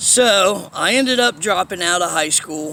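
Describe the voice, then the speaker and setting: Over noticeable background noise, a man uses a raised, projected voice at a high pitch, with lively intonation and a very slow pace. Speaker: vlogger telling life story. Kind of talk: personal storytelling monologue. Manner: casual, halting with fillers.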